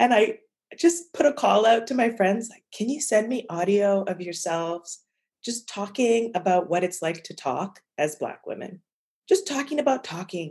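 The voice is somewhat breathy and moves at a moderate pace. It has very wide pitch swings and big swings in loudness. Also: woman, fairly high pitch for a woman. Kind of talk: casual interview conversation.

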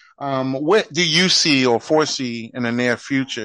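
An ordinary speaking voice from a man, medium in pitch and with ordinary pitch variation. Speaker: podcast host. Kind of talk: casual interview. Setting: phone call.

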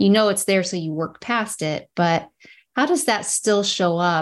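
A woman with a fairly low pitch, a moderate pace and a plain, everyday voice. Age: 40s. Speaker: podcast host. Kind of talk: interview conversation. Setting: video call.

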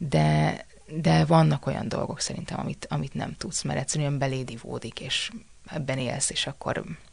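Her voice is very deep and low, with very wide pitch swings. This woman keeps a moderate pace over noticeable background noise. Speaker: actress. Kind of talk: casual chat.

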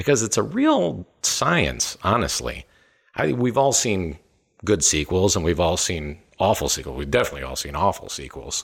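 A man talks at a moderate pace with a very deep, low pitch, vocal fry and very wide pitch swings. The recording is very clean, with a silent background. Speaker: film podcast host. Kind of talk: casual film discussion podcast.

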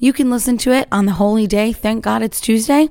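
An energetic woman's voice, fairly high-pitched. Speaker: podcast host and small business owner. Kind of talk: casual solo podcast monologue. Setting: home studio, morning.

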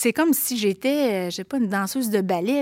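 A woman with an unremarkable speaking voice, medium pitch and ordinary pitch variation, at a moderate pace, in a very clean recording with a silent background and a dry, close sound with no echo. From Quebec City, Limoilou. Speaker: author and teacher. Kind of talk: casual chat.

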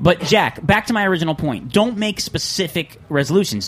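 Noticeable background noise is present. A man speaks fairly quickly over it. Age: 20s. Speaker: podcast host. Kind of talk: casual chat. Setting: studio.

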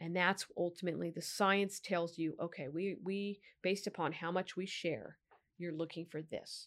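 Speaking at a moderate pace with a Californian accent, a woman with a fairly low pitch comes through on a very clean recording with a silent background. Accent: General American (Californian). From Sacramento, California. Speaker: district attorney. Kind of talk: interview.

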